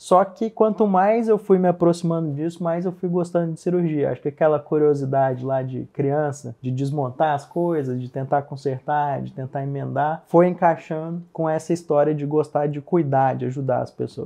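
A man's ordinary speaking voice, fairly high in pitch, with ordinary pitch variation, a moderate pace and hardly any pauses. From Minas Gerais, Brazil (Uberaba, Triângulo Mineiro). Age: 30s. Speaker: plastic surgeon. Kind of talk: interview conversation.

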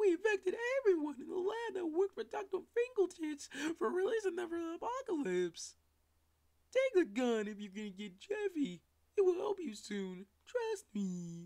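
At a moderate pace, a put-on character voice swings very widely in pitch from a high register. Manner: menacing, dramatic.

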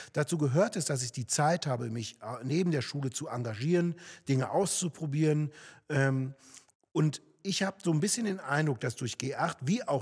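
Somewhat breathy and fairly high-pitched, a man speaks at a moderate pace with lively intonation. The background is quiet. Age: 40s. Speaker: local politician, candidate; election candidate. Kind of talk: political interview. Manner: hesitant, many fillers. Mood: calm, explanatory. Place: studio. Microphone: studio mic.

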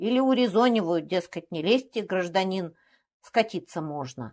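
An unremarkable speaking voice with lively intonation, in a very clean recording with a silent background. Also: woman. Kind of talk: literary audiobook reading of a comic skaz monologue.

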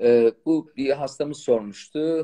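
A dark, mellow tone carries ordinary pitch variation. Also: man, quiet background. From Turkey, Malatya; Turkey. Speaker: fertility doctor. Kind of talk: live-stream Q&A chat. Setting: live video stream. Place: home room. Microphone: phone near.

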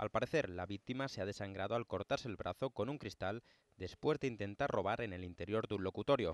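A man with a normal speaking voice talks at a fairly quick pace, his fairly low pitch moving with ordinary variation, the sound dry and close with no echo. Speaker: news reporter. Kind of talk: news report narration.

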